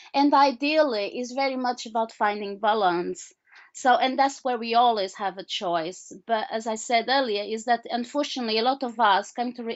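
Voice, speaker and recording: With a Portuguese accent, a woman speaks at a fairly high pitch. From Portugal. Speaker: author and healer. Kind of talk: interview. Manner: halting, many repetitions.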